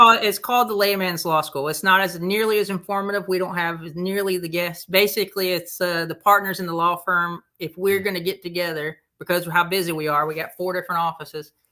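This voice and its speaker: The speaker has a Southern US accent and talks at a fairly quick pace. The recording is very clean, with a silent background. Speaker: lawyer, podcast co-host.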